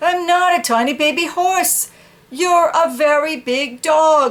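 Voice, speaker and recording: A squeaky, high-pitched put-on character voice at a fairly slow pace. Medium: read story. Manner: blunt, matter-of-fact.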